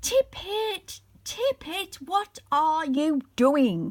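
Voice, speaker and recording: In a squeaky, put-on character voice, a woman talks very slowly at an extremely high pitch. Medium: read story. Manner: imperious.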